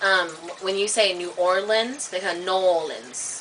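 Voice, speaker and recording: A woman with an American accent speaks at a moderate pace and medium pitch, her intonation fairly even, with noticeable background noise. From US South and Midwest. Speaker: vlogger. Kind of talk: casual vlog, accent demonstrations. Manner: halting.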